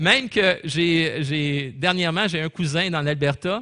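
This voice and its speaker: Speaking very slowly with a Quebec accent, a man has a high, bright, sharp voice, recorded dry and close with no echo. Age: 60s. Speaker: pastor. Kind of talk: sermon.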